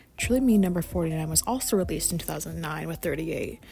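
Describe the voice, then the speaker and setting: Very fast speech from a woman, with noticeable background noise behind it. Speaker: doll customizing content creator. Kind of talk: casual vlog narration. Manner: halting, many fillers.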